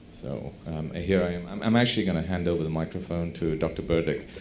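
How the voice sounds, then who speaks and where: Amid audible room echo, a man talks fairly quickly with a very deep, low pitch. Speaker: doctor, audience panelist. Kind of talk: conference Q&A comment. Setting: conference hall, microphone passed around.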